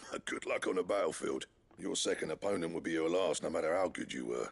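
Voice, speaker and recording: A man rattles off lines at a very fast pace in a raspy, put-on character voice. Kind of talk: working-class colloquial. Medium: video game. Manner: casual, folksy.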